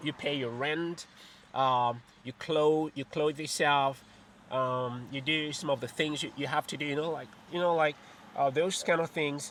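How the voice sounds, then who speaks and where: A man with a bright, sharp tone and fairly high pitch, speaking at a fairly slow pace. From Cameroon. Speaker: YouTuber. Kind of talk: casual vlog talk. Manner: repetitive, halting with fillers.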